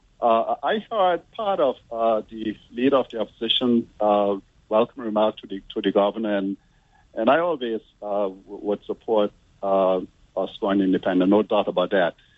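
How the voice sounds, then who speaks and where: A man speaks in a fairly low voice with ordinary pitch variation. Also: moderate pace. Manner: hesitant.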